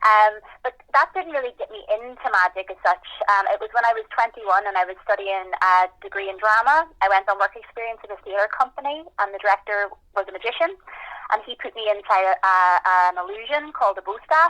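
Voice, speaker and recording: In a Northern Irish accent, the voice moves at a fairly quick pace with a bright, sharp tone, lively intonation and big swings in loudness, in a dry, close sound with no echo. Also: woman, fairly high pitch for a woman. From Northern Ireland, Belfast. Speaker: magician. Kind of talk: interview.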